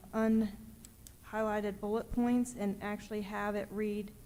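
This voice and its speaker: The delivery is monotone, with flat intonation, at a fairly slow pace. Audible room echo surrounds the voice. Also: woman. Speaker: city councilor. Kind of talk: council meeting. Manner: loud.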